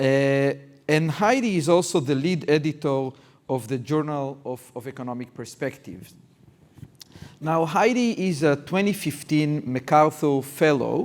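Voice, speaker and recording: A man's fairly high voice with lively intonation at a fairly slow pace. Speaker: university dean and interviewer. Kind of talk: live public interview. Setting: event with live audience.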